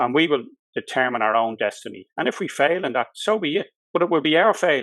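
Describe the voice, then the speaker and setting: A man's very fast, lively-intonated speech with a Dublin accent. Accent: Dublin Irish. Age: 60s. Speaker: solicitor and election candidate. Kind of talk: political interview.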